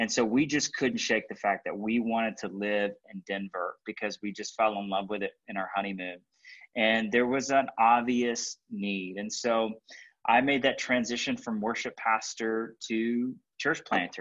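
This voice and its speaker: A man with a medium-pitched voice speaks in an ordinary speaking voice, at a moderate pace and with fairly even intonation. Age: 30s. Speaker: pastor and church planter. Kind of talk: interview conversation.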